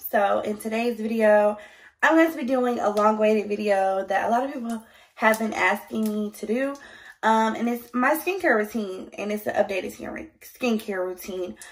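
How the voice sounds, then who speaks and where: A woman with an ordinary speaking voice talks at a moderate pace, her fairly high pitch showing ordinary pitch variation. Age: 20s. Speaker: beauty YouTuber. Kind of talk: casual skincare tutorial to camera. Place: home room. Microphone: phone near.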